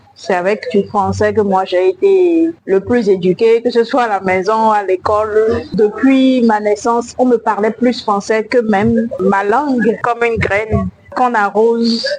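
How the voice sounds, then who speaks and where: Over music in the background, a woman with a fairly high voice talks at a fairly slow pace, her loudness very even and her pitch varying in an ordinary way. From Benin. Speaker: slam poet. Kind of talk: interview.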